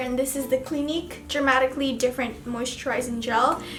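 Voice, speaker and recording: Here a woman speaks at a high pitch. Noticeable background noise runs behind her. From Philippines. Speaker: beauty vlogger. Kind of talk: casual chat. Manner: casual, filler-heavy.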